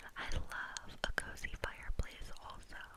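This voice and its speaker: Someone whispers over noticeable background noise. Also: woman. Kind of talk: ASMR close-whisper talk to camera. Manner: whispered, soft.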